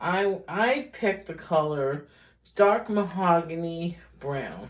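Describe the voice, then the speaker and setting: With an American accent, a woman speaks in a fairly low voice with lively intonation. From US Northeast, Brooklyn, New York. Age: 50s. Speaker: beauty vlogger. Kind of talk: tutorial. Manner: casual, rambling with fillers.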